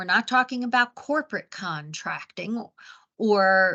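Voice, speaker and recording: A woman with an American accent speaks at a fairly slow pace in a bright, sharp tone, recorded dry and close with no echo. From Baltimore, Maryland, US. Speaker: business coach and webinar presenter. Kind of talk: webinar presentation. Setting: live webinar. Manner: clear enunciation.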